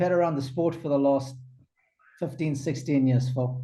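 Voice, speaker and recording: A man's somewhat breathy voice with a dark, mellow tone, ordinary pitch variation and a moderate pace. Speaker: tennis commentator and former pro player. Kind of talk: interview answer.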